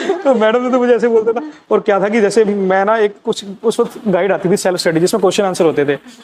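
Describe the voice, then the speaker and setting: Speaking at a high pitch, a man uses ordinary pitch variation with hardly any pauses. Noticeable background noise runs underneath. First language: Punjabi (speaking Hindi). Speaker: school alumnus. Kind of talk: casual interview chat.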